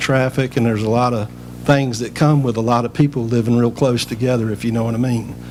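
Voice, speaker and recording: A man speaks in a North Carolina accent with monotone, flat intonation. Noticeable background noise and audible room echo surround him. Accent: Southern US (North Carolina). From North Carolina, Rocky Mount. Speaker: public commenter, resident. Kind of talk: public comment at council meeting. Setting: town council meeting.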